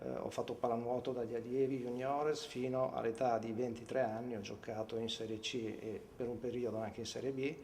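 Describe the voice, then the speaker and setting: A man's medium-pitched voice at a moderate pace, fairly even intonation, audible room echo. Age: 50s. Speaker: former swimmer and water polo player. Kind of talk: interview testimony. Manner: hesitant, many fillers.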